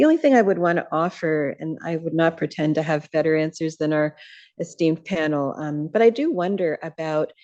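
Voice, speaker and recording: A soft-spoken woman at a fairly low pitch and a fairly quick pace. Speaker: audience member at a panel. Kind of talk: audience comment at a panel Q&A.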